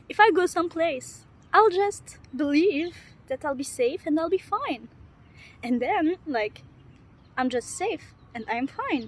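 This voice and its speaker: With noticeable background noise behind her, a woman speaks fairly slowly at an extremely high pitch, swinging widely in pitch and leaving long, frequent pauses. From Lebanon. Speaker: vlogger. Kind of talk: casual monologue. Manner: halting, self-correcting.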